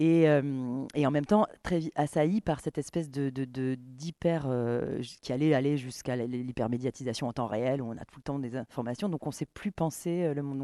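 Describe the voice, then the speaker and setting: Delivered at a moderate pace with ordinary pitch variation, the dark, mellow voice swings widely in loudness, heard dry and close with no echo over a quiet background. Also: man, fairly high pitch for a man. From Camargue, southern France. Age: 30s. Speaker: playwright, stage director and actress. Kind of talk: interview. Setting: stage. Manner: halting.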